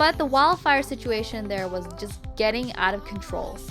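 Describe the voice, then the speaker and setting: A woman speaks at a fairly quick pace with very wide pitch swings while music plays in the background. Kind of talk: travel vlog voiceover.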